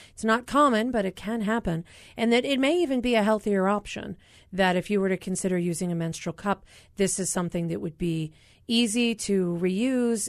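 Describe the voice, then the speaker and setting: A woman's medium-pitched voice with an American accent, lively intonation and a fairly quick pace over a quiet background. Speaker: physician and radio health show host. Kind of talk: interview talk show. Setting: studio.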